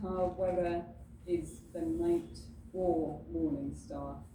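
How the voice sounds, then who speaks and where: A woman with an English accent talks at a very slow pace, with audible echo in the room. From southern England, Bexhill-on-Sea. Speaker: library heritage and research lead. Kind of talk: presentation. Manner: hesitant with frequent fillers.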